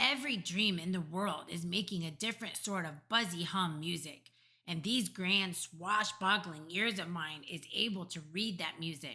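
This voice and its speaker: A woman does a put-on character voice with a playful tone, pitched fairly low. She barely pauses at all. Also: moderate pace. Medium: read story. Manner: ungrammatical, playful invented words.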